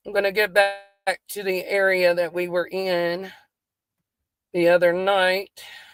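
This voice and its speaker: A woman with a Southern US accent speaks at a medium pitch in a flat, monotone way and at a fairly slow pace. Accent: country Southern. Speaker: true crime YouTuber. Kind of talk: casual commentary while reviewing dispatch audio. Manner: casual, chatty.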